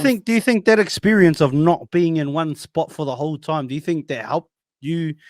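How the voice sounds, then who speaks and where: Speaking fairly quickly in a normal speaking voice with ordinary pitch variation, a man is heard dry and close with no echo on a very clean recording with a silent background. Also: fairly high pitch for a man. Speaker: podcast host. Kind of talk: casual podcast interview.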